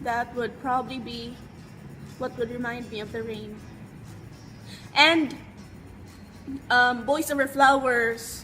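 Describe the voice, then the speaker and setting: A woman's high, flat monotone in a Visayan Filipino accent, very slow with long, frequent pauses and big swings in loudness, over music in the background. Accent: Filipino (Cebuano) English. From Cebu, Philippines. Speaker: beauty vlogger. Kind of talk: casual talk to camera. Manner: loud, hyped.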